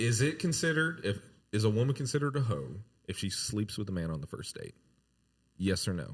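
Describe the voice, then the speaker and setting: A somewhat breathy man with a Texan accent at a fairly quick pace, fairly low in pitch with very wide pitch swings. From Texas, San Antonio. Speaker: podcast host. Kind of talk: casual chat.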